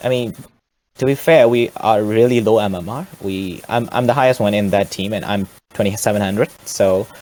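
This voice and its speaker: A man with a non-native accent talks at a fairly quick pace, pitched fairly low. His intonation is fairly even, broken by long, frequent pauses. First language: not English. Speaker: amateur esports player. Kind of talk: post-match interview. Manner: halting, hesitant.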